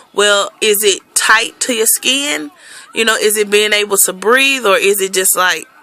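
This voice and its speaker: Noticeable background noise behind a woman at medium pitch, moderate pace and ordinary pitch variation. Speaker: vlogger and school bus driver. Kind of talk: casual vlog. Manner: casual with fillers.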